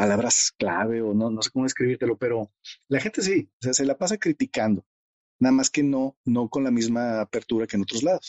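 A man speaks in a medium pitch. His pace is fairly quick, and his pitch varies in an ordinary way. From Mexico, Monterrey. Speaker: mathematician and China expert. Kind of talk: interview conversation. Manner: halting, many fillers.

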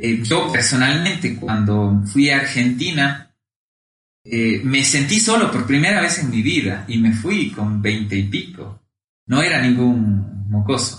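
At a very slow pace, a man speaks at a medium pitch. His intonation is lively and his loudness very even. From Ecuador, Cuenca. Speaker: economist. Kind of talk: interview. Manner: hesitant, frequent fillers and repetitions.

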